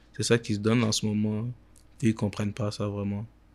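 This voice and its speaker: A man with a fairly low pitch and fairly even intonation talks at a moderate pace on a very clean recording with a silent background. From Quebec. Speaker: reality web show creator. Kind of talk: casual interview.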